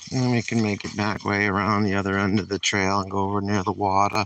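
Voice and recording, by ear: A man with a New England accent, fast-paced, fairly low in pitch with little pitch movement and a fairly bright tone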